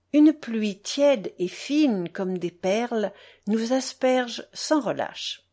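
The intonation moves in a lively way. The delivery is plain reading aloud.

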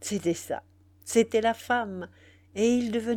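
Intonation stays fairly even throughout this unforced reading voice.

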